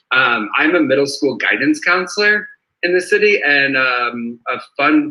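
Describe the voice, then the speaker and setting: Here is a man with an ordinary speaking voice. He keeps a moderate pace. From Boston, Massachusetts. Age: 30s. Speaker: school guidance counselor, game contestant. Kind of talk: casual self-introduction.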